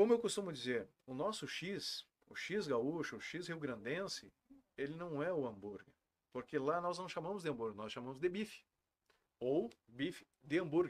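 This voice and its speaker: Fairly high in pitch, a man talks at a moderate pace while his pitch swings very widely. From Rio Grande do Sul (Santa Maria); Rio Grande do Sul. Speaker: restaurant owner; podcast guest. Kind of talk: interview. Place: studio.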